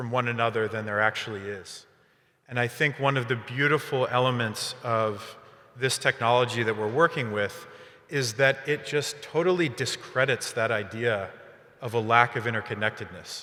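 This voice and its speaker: Loud and medium in pitch, a man talks at a moderate pace with fairly even intonation. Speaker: startup founder. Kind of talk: panel discussion.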